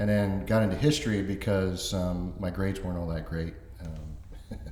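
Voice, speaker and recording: Amid audible room echo, a man with a very deep, low pitch speaks at a moderate pace and with fairly even intonation. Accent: American. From Florida, Orlando (born North Carolina). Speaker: author and construction project manager. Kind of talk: interview.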